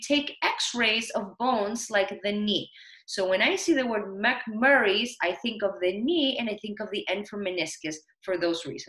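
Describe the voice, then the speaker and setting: In a non-native accent, a woman speaks at a fairly high pitch with lively intonation. Her pace is very slow. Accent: foreign. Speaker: nurse educator. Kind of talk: lecture.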